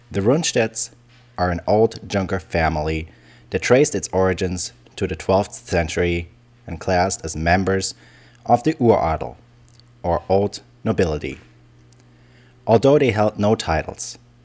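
In a German accent, a man uses a very deep, low pitch with lively intonation. His speech has long, frequent pauses. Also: moderate pace. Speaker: history video narrator. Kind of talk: scripted educational narration.

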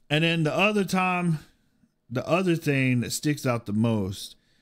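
The setting around him is quiet. His intonation is lively as the man talks. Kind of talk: personal storytelling during a reaction video. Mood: reflective, somber. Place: home room. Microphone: studio mic.

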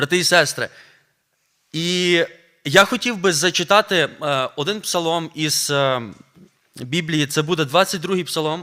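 A man's high, bright, sharp voice at a very slow pace, with long, frequent pauses and ordinary pitch variation. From Ukraine, Volyn region. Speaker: preacher, seminary teacher. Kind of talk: sermon. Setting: church.

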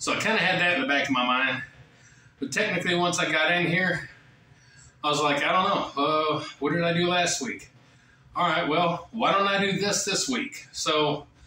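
A man with a high pitch and ordinary pitch variation at a moderate pace, very even in loudness, with audible room echo and light background noise. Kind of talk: casual vlog chat. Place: gym. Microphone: camera far.

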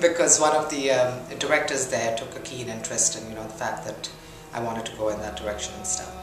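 A woman speaks at a fairly quick pace with audible room echo and clear music in the background. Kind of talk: interview answer. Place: home room.

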